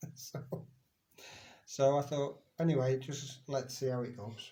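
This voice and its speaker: Relaxed and somewhat breathy, a man speaks fairly slowly at medium pitch in a dark, mellow tone. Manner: speaks very slowly, relaxed.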